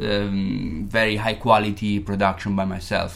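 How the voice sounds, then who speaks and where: In an Italian accent, a man speaks at a fairly low pitch with monotone, flat intonation. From Italy, Modena. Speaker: bass player in a band. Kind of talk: casual chat.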